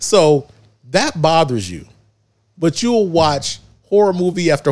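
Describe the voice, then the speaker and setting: A man talks in an ordinary speaking voice, pitched fairly high. His intonation is lively. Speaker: podcast co-host. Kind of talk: casual banter podcast. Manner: joking, playful.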